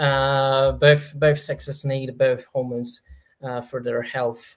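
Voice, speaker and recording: With a somewhat breathy voice, a man speaks at a fairly slow pace in a very clean recording with a silent background. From Poland. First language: Polish. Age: 30s. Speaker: YouTuber. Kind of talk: livestream Q&A. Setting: livestream. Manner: halting, many fillers.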